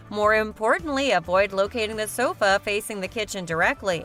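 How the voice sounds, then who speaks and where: Music plays in the background as a woman talks. Her pitch is fairly high and her pace moderate. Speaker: voice-over artist (hired freelance narrator). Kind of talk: corporate narration, home decor list video.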